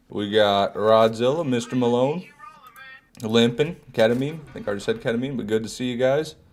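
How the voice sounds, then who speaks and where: Over music in the background, a man with a medium pitch talks at a fairly quick pace. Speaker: gaming streamer. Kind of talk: live gameplay commentary. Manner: casual, conversational.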